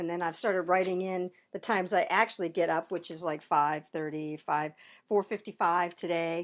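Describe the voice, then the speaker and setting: A woman speaks at a fairly quick pace in a fairly low voice. The recording is very clean, with a silent background. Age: 60s. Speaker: marketing business owner and vlogger. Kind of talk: casual vlog talk. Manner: halting, many fillers and repeats.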